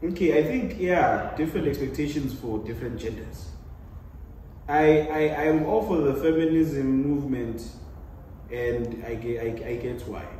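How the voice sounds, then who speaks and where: Amid noticeable background noise and audible room echo, a man speaks at a moderate pace in a fairly high pitch with ordinary pitch variation. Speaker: panel guest. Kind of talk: casual debate.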